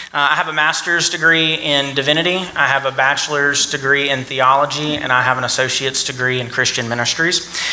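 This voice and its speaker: Over noticeable background noise, a man speaks at a fairly quick pace with fairly even intonation and hardly any pauses. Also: fairly high pitch for a man. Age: 20s. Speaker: political candidate. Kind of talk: candidate forum speech.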